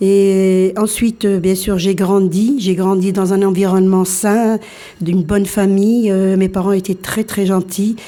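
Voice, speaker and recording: Against noticeable background noise, a woman speaks at a fairly slow pace with medium pitch. Her intonation is monotone and flat, and her loudness stays very even. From France, arrived from Algeria aged four. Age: 60s. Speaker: interviewee. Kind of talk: radio interview. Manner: halting, many hesitations.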